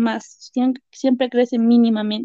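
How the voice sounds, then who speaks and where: A woman speaks fairly slowly in a high-pitched voice with a dark, mellow tone. Her intonation is monotone and flat, and the sound is dry and close with no echo. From Peruvian Andes, Carhuaz. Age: 20s. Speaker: education student with microtia. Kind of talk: personal testimony interview.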